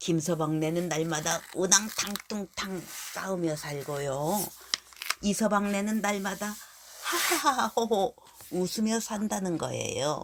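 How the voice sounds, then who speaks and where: Very slowly, a woman speaks in a gentle, soothing tone. Her pitch is medium. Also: ordinary pitch variation. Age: old. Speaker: storyteller. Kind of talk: children's bedtime story.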